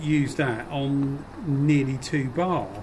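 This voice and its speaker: There is noticeable background noise behind a man speaking with a fairly high pitch. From UK. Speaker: YouTuber spraying hobbyist. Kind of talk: casual video ramble, tutorial. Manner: chatty, rambling. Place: workshop. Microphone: phone near.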